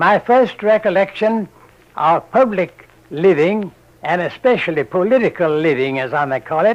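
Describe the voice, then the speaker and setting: Lively intonation marks this man's high-pitched voice with an American accent. He goes at a fairly slow pace. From Virginia. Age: 80s+. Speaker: war veteran. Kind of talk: oral history recollection.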